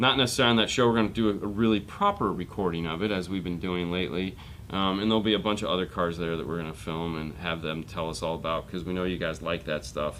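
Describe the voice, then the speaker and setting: With a very deep, low pitch, a man talks at a very fast pace, barely pausing. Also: ordinary pitch variation. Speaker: car audio show host. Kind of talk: casual chat.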